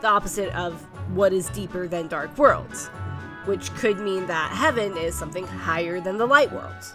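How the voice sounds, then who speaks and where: Over background music, a woman talks at an unhurried but not slow pace. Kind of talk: video essay narration.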